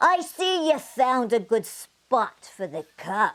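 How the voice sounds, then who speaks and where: In a put-on character voice, the speaker goes at a very slow pace with very wide pitch swings. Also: female-sounding voice. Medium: read story.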